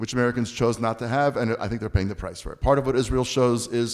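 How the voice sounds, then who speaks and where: A man rattles along at a very fast pace, and the recording is very clean with a silent background. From US, Baltimore. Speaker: author and speaker on Israel. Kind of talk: panel discussion answering audience questions.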